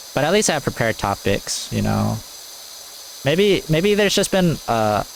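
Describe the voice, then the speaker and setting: There is noticeable noise in the background. The delivery keeps a moderate pace. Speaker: gaming YouTuber. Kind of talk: let's play commentary. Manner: low energy; halting.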